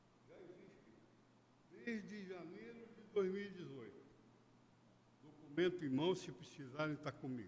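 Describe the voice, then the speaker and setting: A man's high-pitched voice with lively intonation, amid audible room echo. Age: 70s. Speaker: citizen speaking at public hearing. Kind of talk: public hearing statement. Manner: halting.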